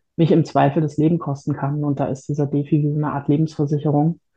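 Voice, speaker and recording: The speaker is a woman with a very deep, low pitch. Her delivery stays monotone and flat. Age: 40s. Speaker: patient sharing experience with illness and depression. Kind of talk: interview testimony.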